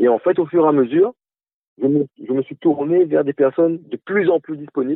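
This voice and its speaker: Moderate pace and ordinary pitch variation from a man with a normal speaking voice, fairly high in pitch. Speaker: musician, band founder. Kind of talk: radio interview. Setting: phone call.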